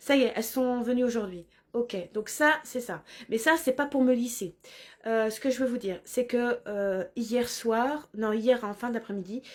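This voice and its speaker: A woman speaks with a high pitch at a fairly slow pace, using ordinary pitch variation. The recording is very clean, with a silent background. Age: 40s. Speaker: spiritual vlogger. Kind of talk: personal vlog monologue. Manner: halting, many hesitations.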